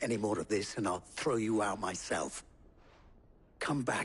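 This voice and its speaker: A man puts on a growling character voice, fairly low in pitch, at a moderate pace and very even loudness. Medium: video game. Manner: measured, grave.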